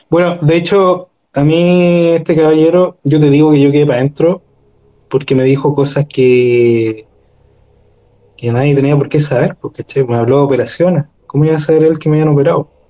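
A man speaks in a Chilean accent at a fairly high pitch. The sound is dry and close, with no echo. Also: fairly even intonation, moderate pace. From Chile, Maipú (Santiago). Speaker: guest with paranormal experiences. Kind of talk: casual chat.

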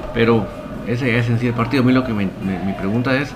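Noticeable background noise and audible room echo surround this recording. A man speaks at a medium pitch and a fairly quick pace. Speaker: football fan podcast host. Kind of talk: live-streamed casual football talk. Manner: enthusiastic.

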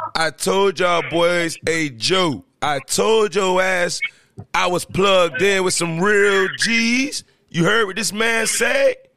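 A man speaks in a raised, projected voice. His pitch sits high. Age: 30s. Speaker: podcast host. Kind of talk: casual chat. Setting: livestream. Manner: loud; animated.

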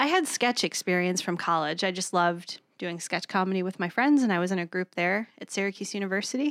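A woman with a normal speaking voice talks at a fairly quick pace and medium pitch, with ordinary pitch variation and hardly any pauses, in a very clean, dry, close recording with no echo and a silent background. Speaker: improv performer and teacher, radio producer. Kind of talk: casual chat. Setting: studio. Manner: joking, quick banter.

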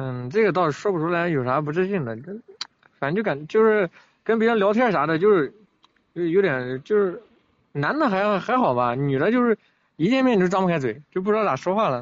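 With a high pitch and very wide swings, a man talks at a fairly quick pace broken by long, frequent pauses. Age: 20s. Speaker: food delivery rider. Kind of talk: call-in advice chat.

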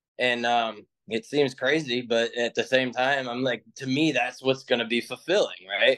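With a normal speaking voice, a man talks at medium pitch and a moderate pace, keeping his intonation fairly even. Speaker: program member asking questions. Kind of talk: group call Q&A.

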